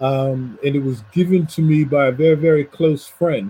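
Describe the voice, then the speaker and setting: At a fairly slow pace, a man talks in a somewhat breathy, dark, mellow voice of fairly high pitch with ordinary pitch variation. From US Northeast. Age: 60s. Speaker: professor and poet. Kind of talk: conversational discussion. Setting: video call.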